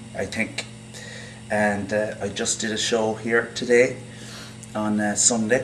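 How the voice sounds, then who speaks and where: With noticeable background noise around him, a man talks in a monotone, flat intonation. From Ireland. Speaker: actor and playwright. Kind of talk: interview answer.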